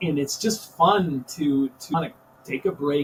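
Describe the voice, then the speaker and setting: With a Minnesota accent and an animated tone, a man speaks in very wide pitch swings against noticeable background noise. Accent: Upper Midwest (Minnesota) American. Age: 60s. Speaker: high school teacher and coach. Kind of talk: podcast interview.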